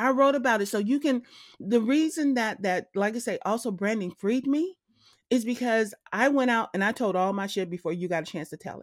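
A woman speaks fairly quickly in an animated tone with a fairly high pitch and lively intonation, on a very clean recording with a silent background. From Los Angeles, with Texan parents. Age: 50s. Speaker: brand strategist. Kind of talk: casual interview chat.

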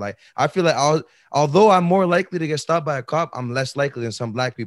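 A normal speaking voice moves at a fairly quick pace. The sound is dry and close with no echo, over a quiet background. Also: man. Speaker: podcast co-host. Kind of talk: casual chat.

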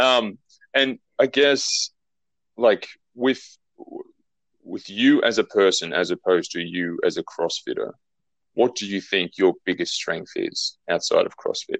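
A man with an Australian accent speaks at a fairly slow pace with long, frequent pauses, recorded dry and close with no echo. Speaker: podcast host. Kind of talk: interview.

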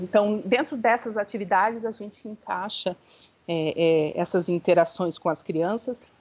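Behind a woman's voice, background noise is noticeable. She talks fairly slowly. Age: 30s. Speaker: founder of a Montessori centre for the elderly. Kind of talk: interview. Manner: hesitant, many fillers.

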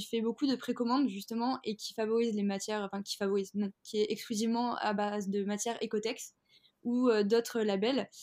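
Her pitch fairly high and her intonation monotone and flat, a woman speaks at a fairly quick pace. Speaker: fashion entrepreneur. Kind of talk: interview.

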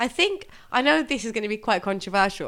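A woman with an English accent speaks in a bright, sharp tone with lively intonation, in a very clean recording with a silent background. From England. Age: 40s. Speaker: podcast co-host. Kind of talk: casual chat.

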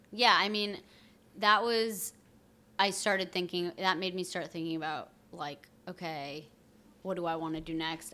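A woman talks at a moderate pace with a fairly low pitch and a bright, sharp tone. Her intonation is fairly even, with long, frequent pauses. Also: very clean recording, silent background. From Vermont, outside Burlington. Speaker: startup co-founder. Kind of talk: casual interview.

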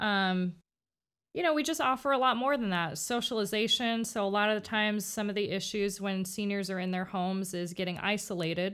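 A woman with a normal speaking voice and an American accent, medium pitch, ordinary pitch variation and a fairly quick pace, on a very clean recording with a silent background. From Miami, Florida. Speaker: assisted living worker. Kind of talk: panel discussion.

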